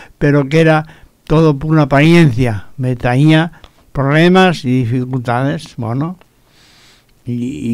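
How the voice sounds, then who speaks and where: A man's fairly high-pitched voice moves at a very slow pace. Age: 70s. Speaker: radio preacher. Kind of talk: radio sermon.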